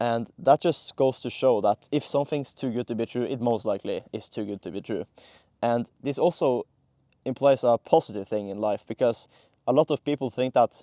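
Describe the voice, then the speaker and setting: Against a quiet background, a man with a non-native accent and a dark, mellow tone speaks at a fairly quick pace. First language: not English. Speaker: content creator. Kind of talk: casual monologue to camera. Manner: halting, many fillers and restarts.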